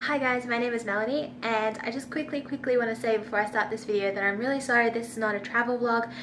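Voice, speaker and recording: With an Australian accent, a woman speaks at a very fast pace and a fairly high pitch. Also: fairly even intonation. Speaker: vegan food and travel vlogger. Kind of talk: casual Q&A vlog. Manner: casual, filler-heavy.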